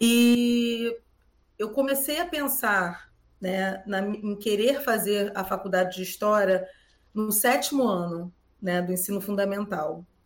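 Pausing long and often, a woman speaks very slowly at a medium pitch with ordinary pitch variation. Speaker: schoolteacher. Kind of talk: interview.

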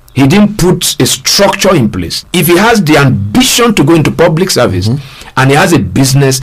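Music plays behind a man with a fairly high voice. His pitch swings very widely. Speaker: resource person on governance talk show. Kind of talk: radio discussion. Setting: studio.

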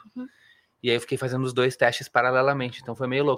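This is a man speaking at a medium pitch. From Porto Alegre, southern Brazil. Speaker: musical theatre actor. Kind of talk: interview.

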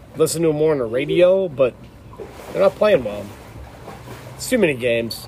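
Over noticeable background noise, a man with a fairly high voice speaks at a fairly quick pace, with lively intonation and long, frequent pauses. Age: 40s. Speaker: podcast host. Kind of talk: casual chat.

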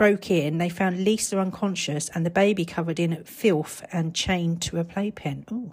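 In a very clean recording with a silent background, a woman with a British accent talks at a moderate pace in a medium pitch, somewhat breathy, with ordinary pitch variation. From Britain. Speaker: podcaster. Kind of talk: reading aloud ghost stories from a book, chatty asides between passages. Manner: casual and rambling, stumbles over words, laughs at herself.

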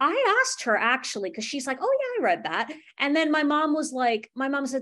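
A woman with an animated tone, lively intonation and a fairly quick pace. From US, Indian American family (Kerala). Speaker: podcast host, writing student. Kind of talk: casual chat. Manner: animated, laughing often.

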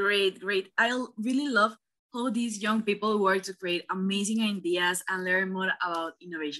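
A woman's bright, sharp voice at medium pitch, with a Spanish accent, ordinary pitch variation and a moderate pace. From Panama. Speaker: student podcast host. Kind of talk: interview. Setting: call.

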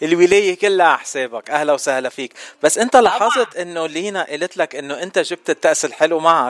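Recorded dry and close with no echo, a man speaks with a high pitch and lively intonation. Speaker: radio host. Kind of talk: casual chat. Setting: studio.

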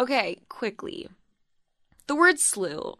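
A woman speaks with a bright, sharp, animated tone. Behind her the background is quiet. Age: 20s. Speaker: podcast host. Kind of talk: casual chat.

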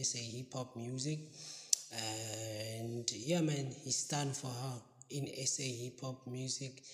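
At a very slow pace, a man with a medium pitch speaks in a somewhat breathy voice with ordinary pitch variation. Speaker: podcast host. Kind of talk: casual news roundup.

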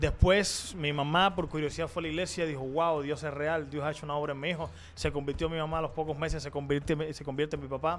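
A man rattles along at a very fast pace with hardly any pauses, his fairly high voice monotone and flat. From Cuba, Havana. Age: 20s. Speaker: pastor. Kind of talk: interview testimony.

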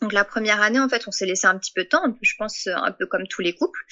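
This woman's pitch is fairly high. It shows ordinary variation. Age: 30s. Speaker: patient sharing fertility story. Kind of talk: testimony. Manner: halting, many hesitations.

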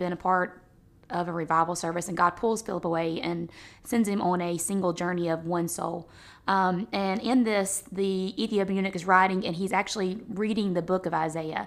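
Fairly quick speech from a woman in an ordinary speaking voice, medium in pitch, with fairly even intonation. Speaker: host's wife, guest. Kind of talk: casual religious discussion.

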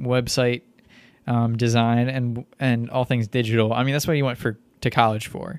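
The speaker, a man, has a plain, everyday voice. His intonation is fairly even, at a medium pitch. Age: 20s. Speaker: podcast co-host. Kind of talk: casual chat.

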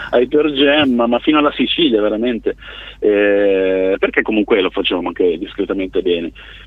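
A man at a moderate pace and very even loudness, over noticeable background noise. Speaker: bassist in a band. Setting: phone call.

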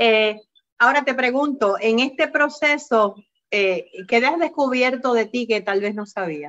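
Her pace is fairly slow. This woman speaks in a high pitch with lively intonation. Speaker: health podcast host. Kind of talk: interview.

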